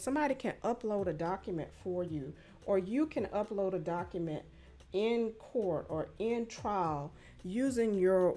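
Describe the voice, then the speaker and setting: A woman talks at a fairly slow pace while faint music sounds in the background. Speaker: attorney instructor. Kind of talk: tutorial. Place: home room. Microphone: studio mic.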